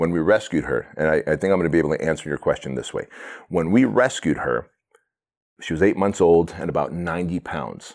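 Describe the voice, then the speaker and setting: Very deep and low, a man's voice carries vocal fry and ordinary pitch variation. He talks very fast but leaves long, frequent pauses. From immigrant to the US, fled communism as a child. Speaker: entrepreneur and business coach. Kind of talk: podcast interview. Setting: in person, same room as host.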